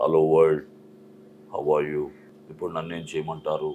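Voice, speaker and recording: Putting on a character voice, a man speaks with a very deep, low pitch. His pace is moderate. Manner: flat, expressionless, monotone.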